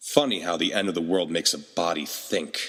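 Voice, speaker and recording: Using a put-on character voice, a man growls at a very deep, low pitch. He moves at a fairly quick pace in a very clean recording with a silent background. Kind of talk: hard-boiled voice-over. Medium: read story. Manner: dry, sardonic.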